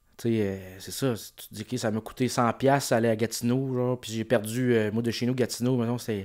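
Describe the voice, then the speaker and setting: Against a quiet background, a man speaks at a fairly quick pace in a monotone with flat intonation, his loudness swinging widely. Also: medium pitch for a man. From Quebec. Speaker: comedian. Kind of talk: casual chat. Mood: relaxed, joking. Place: home room. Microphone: studio mic.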